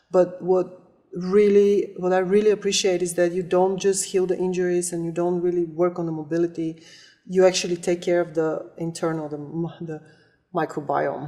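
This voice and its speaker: A woman with a non-native accent speaks at a moderate pace in a monotone, flat way. Her voice is fairly low, with a dark, mellow tone. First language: not English. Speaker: volleyball player and coach. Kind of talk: testimonial interview.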